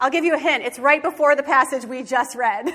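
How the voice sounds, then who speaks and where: Raised, projected female voice with an American accent, bright, sharp, and animated, with ordinary pitch variation. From Michigan. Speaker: pastor. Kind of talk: sermon.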